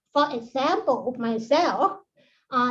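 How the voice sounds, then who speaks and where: A woman with a Thai accent speaks at a very slow pace in a high voice. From Thailand. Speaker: associate professor. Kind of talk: conference talk. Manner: halting.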